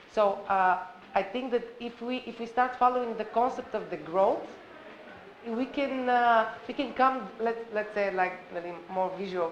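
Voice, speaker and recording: The voice shows ordinary pitch variation amid audible room echo. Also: woman. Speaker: conference participant. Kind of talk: panel discussion. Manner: loud; halting.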